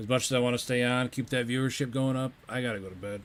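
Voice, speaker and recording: A man with an American accent, medium-pitched, at a very fast pace. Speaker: video game streamer. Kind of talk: casual chat.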